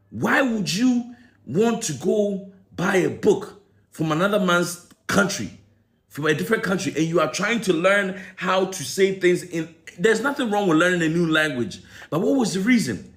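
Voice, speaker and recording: An animated man speaks at a moderate pace with an American accent. His pitch is high with ordinary variation, and the room echo is audible. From Ghana. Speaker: commentator. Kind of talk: opinion commentary vlog.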